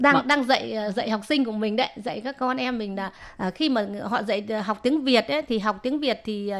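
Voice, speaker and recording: This woman has a plain, everyday voice, fairly high in pitch with ordinary pitch variation. She talks at a fairly slow pace. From Vietnam. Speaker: immigrant painting student and folk singer. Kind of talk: interview.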